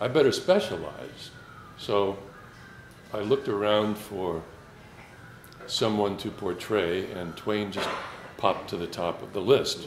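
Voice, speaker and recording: A man speaks at a fairly low pitch and a fairly slow pace. Music plays in the background, and room echo is audible. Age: 60s. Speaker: Twain impersonator and amateur actor. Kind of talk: casual talk to a gathering. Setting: small gathering. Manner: halting, with many fillers.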